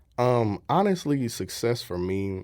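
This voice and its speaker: Here a man speaks with a St. Louis accent. He goes at a fairly slow pace. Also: very clean recording, silent background. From US Midwest, St. Louis, Missouri. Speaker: content creator and voice-over artist. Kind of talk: radio interview. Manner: casual, hesitant with fillers.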